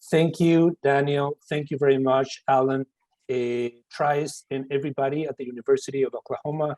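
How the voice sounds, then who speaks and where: A dark, mellow tone at a moderate pace, with monotone, flat intonation and a dry, close sound with no echo. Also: man, fairly high pitch for a man. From Mexico City. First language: Yiddish. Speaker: professor. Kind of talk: academic conversation. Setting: video call.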